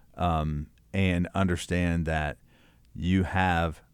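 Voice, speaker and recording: With a Kentucky accent, a man speaks at a very deep, low pitch and fairly even intonation. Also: very clean recording, silent background. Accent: Southern US (Kentucky). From rural Kentucky. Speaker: church leadership consultant. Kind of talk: interview.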